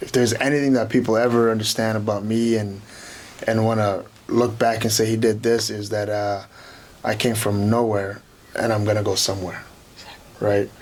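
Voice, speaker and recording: A man with a fairly low pitch speaks in a monotone, flat way, with audible room echo and noticeable background noise. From Kenya, East Africa. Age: 20s. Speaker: professional wrestler. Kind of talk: interview. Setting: studio.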